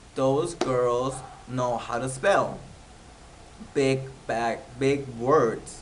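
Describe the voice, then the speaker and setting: With noticeable background noise and audible room echo, a man with a fairly high pitch and a Spanish accent speaks at a very slow pace. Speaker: YouTuber, TV show recapper. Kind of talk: casual TV recap vlog. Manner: hesitant, many fillers.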